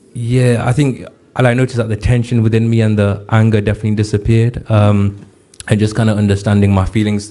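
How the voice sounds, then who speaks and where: In a monotone, flat delivery, a man with a fairly low voice talks at a very fast pace and very even loudness. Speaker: rap artist and mental health helpline advisor. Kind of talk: interview.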